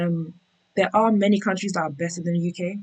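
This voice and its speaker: A woman's somewhat breathy voice at a very fast pace. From England, UK-born of Nigerian Yoruba parents. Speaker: tech worker sharing relocation experience. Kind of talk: interview conversation.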